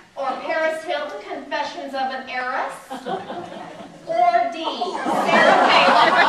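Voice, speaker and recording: Over crowd noise, a woman talks fairly slowly at a high pitch, with ordinary pitch variation and long, frequent pauses. Her tone is upbeat and energetic, and her loudness swings widely. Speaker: stand-up comedian and librarian. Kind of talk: live stand-up comedy. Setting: live audience in a library. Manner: upbeat, energetic.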